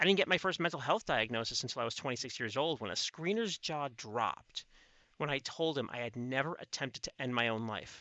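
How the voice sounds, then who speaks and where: With an American accent, a man speaks at a fairly quick pace in a medium pitch with lively intonation. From US Midwest, Chicago city. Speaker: podcast host. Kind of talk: personal storytelling monologue.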